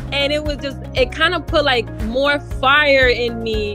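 With clear music playing behind her, a woman speaks in a dry recording with no echo. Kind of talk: interview answer. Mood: grateful, upbeat. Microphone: video call.

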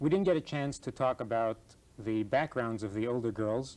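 A man talks at a moderate pace. His pitch shows ordinary variation. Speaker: rabbi and program host; rabbi, program host. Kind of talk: moderated group discussion. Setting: studio. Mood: calm, friendly. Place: studio.

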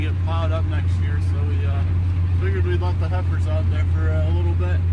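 A man talks at a fairly quick pace. Loud background noise sits behind him. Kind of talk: casual vlog chat. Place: farm machine. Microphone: camera far.

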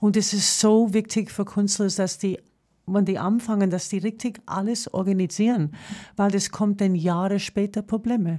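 Against a quiet background, a woman with a dark, mellow tone speaks at a moderate pace, her medium pitch carried with fairly even intonation. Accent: strong American. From New York, US. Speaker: singer and entertainer. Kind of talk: casual radio interview. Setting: radio studio. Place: studio.

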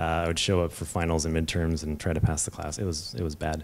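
Speaking with an American accent, a man uses a very deep, low pitch. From Bay Area, California; California. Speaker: software engineer, game industry; panelist. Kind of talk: panel talk. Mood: relaxed, candid. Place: hall. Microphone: handheld.

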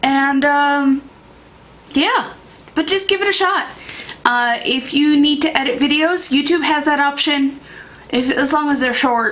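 A woman with an American accent, high in pitch, at a fairly slow pace, with ordinary pitch variation, very even loudness and long, frequent pauses. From Iowa, near the Mississippi River; Iowa. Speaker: beauty YouTuber. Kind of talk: casual vlog talk to camera. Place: home room.

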